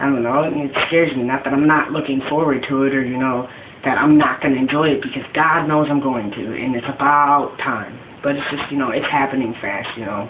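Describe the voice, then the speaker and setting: A man at a fairly quick pace with fairly even intonation, audible room echo and noticeable background noise. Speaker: vlogger documenting gender transition. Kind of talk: casual video diary. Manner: halting, many fillers.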